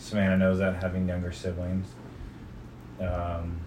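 A man with a very deep, low voice and an American accent, monotone and flat, over noticeable background noise. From California. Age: 40s. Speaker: father being interviewed by his daughter. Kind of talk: oral history interview, reminiscing life story for his daughter, nostalgic and candid. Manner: relaxed, conversational, humorous, laughs at memories, sincere and earnest at the end.

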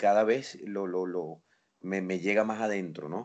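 The voice has a Venezuelan accent. Its pace is moderate. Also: man. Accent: Venezuelan Spanish, kept. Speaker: father. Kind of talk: casual family chat.

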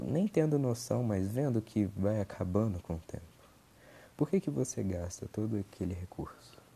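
A man speaks at a fairly slow pace in a dark, mellow tone, his fairly low pitch somewhat breathy and his pitch variation ordinary. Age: 20s. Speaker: podcaster. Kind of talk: casual monologue. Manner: halting.

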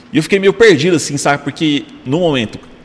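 Background noise is noticeable here. A man talks at a fairly quick pace. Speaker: podcast host. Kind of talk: casual chat.

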